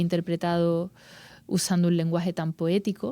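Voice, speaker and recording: A dark, mellow tone comes through in an Andalusian accent at a moderate pace. The recording is very clean, with a silent background. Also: woman. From Andalusia, Spain. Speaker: actress and journalist. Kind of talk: interview. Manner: halting.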